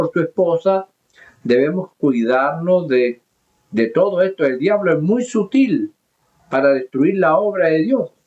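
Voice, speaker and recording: A man with a Chilean accent speaks in a high pitch. His pace is fairly slow and his loudness very even. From southern Chile, mining region. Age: 70s. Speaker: pastor. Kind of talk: sermon. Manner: halting.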